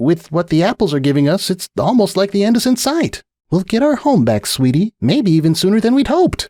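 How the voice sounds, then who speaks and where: A man puts on a character voice, high-pitched, with very wide pitch swings, a fairly quick pace and hardly any pauses. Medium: read story. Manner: affectionate.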